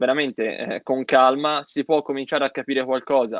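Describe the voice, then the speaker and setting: A man talking at a moderate pace. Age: 20s. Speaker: pharmacy student. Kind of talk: casual interview. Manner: hesitant.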